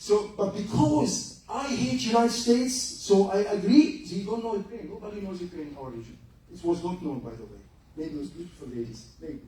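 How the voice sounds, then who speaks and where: A man with an Egyptian accent and high pitch at a fairly quick pace, with very wide pitch swings and big swings in loudness, amid noticeable background noise and audible room echo. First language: Arabic. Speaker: lecturer, retired general. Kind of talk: lecture.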